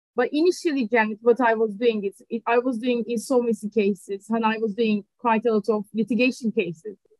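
Over a quiet background, a woman with a Turkish accent speaks at a fairly quick pace and fairly high pitch with ordinary pitch variation, the sound dry with no echo. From Turkey, Ankara. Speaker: litigation funder. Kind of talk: interview. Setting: video call. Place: office. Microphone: video call.

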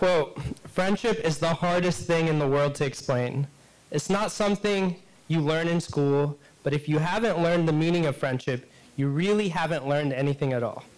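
A man's clear, smooth tone at fairly high pitch, moderate pace and ordinary pitch variation

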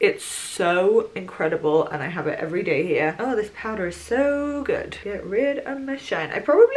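Hardly pausing, a woman talks at a moderate pace with very wide pitch swings. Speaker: vlogger. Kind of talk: casual vlog chat. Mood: cheerful, chatty. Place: home room. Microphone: camera far.

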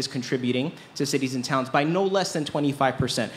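Light background noise can be heard. The voice has ordinary pitch variation. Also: man. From Rhode Island, Central Falls; Rhode Island. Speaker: gubernatorial candidate; candidate. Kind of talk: candidate forum answers. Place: tent. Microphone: camera far.

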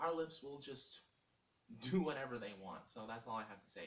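A man talks at a fairly quick pace. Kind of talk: casual vlog chat. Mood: defiant, teasing. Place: home room. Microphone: webcam.

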